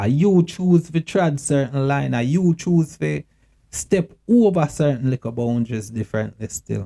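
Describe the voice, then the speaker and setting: A man with a Jamaican accent speaks fairly slowly at a fairly high pitch, his lively intonation and dark, mellow tone captured in a dry, close sound with no echo. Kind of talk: casual talk to camera. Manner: earnest, emotional.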